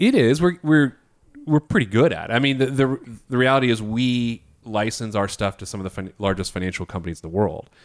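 The delivery is fairly quick. It is a plain, everyday voice. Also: man, medium pitch for a man. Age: 30s. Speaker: financial planner. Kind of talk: casual chat.

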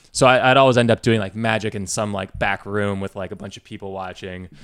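In an American accent, a man with an ordinary speaking voice and fairly low pitch talks at a fairly quick pace with fairly even intonation, on a very clean recording with a silent background. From US Midwest (West Lafayette, Indiana). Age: 20s. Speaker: tech entrepreneur, startup network founder. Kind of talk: casual podcast interview. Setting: studio.

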